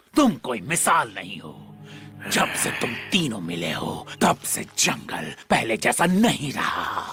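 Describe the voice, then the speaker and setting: A man puts on a cartoonish character voice at a medium pitch. He speaks at a fairly slow pace. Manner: gruff, hostile.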